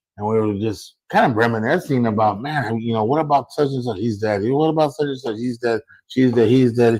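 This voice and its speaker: This man has an ordinary speaking voice, medium in pitch, with fairly even intonation. He moves at a fairly quick pace. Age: 40s. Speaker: lowrider car enthusiast. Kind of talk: casual chat.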